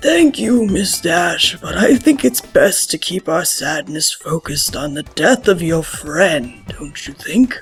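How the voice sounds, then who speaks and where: A raspy, cartoonish character voice at a middle pitch speaks at a fairly slow pace. Faint music plays in the background. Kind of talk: funeral speech. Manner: formal, measured.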